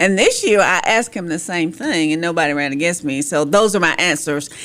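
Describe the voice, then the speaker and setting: Using an eastern North Carolina accent, a woman speaks at a fairly quick pace with a fairly low pitch and ordinary pitch variation. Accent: eastern North Carolina Southern. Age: 60s. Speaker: city councilwoman. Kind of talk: radio interview.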